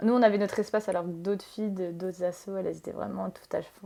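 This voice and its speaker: This woman talks at a fairly quick pace. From France. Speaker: tattoo artist. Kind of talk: casual chat. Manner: hesitant, many fillers.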